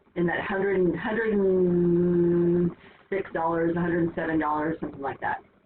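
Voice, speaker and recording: A woman's fairly low voice with fairly even intonation, over noticeable background noise. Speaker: math teacher. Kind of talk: lecture. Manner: fast; casual, filler-heavy.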